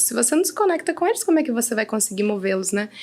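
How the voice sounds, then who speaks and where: A woman's fairly high voice moves in very wide pitch swings. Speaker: team leader in a company. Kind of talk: casual podcast conversation.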